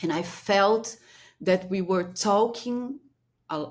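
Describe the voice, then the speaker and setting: A woman with a Brazilian Portuguese accent speaks very slowly, her intonation lively, in a very clean recording with a silent background. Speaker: strategic planning consultant. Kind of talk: interview. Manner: halting.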